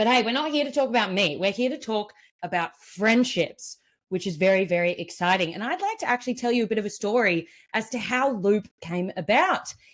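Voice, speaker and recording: Speaking in an Australian accent, a woman talks fairly quickly at a fairly high pitch, with lively intonation and an animated tone. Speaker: event MC and community builder. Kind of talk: live online event hosting. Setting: live online event.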